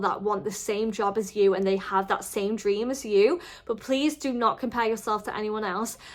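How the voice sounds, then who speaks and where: Lively intonation and an animated tone carry this moderate-paced voice in a Merseyside accent. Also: woman. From northern England, the Wirral near Liverpool. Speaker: vlogger. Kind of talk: casual advice vlog. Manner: chatty.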